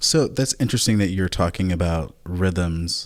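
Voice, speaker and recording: The man's voice is very deep and low. He speaks at a fairly slow pace. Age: 30s. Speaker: podcast host. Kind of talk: casual chat.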